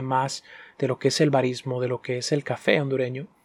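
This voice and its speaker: An unremarkable speaking voice from a man, fairly high in pitch, at a moderate pace, with a dry, close sound and no echo. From Honduras. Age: 20s. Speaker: podcast host and barista. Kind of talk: solo podcast storytelling. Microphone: professional microphone.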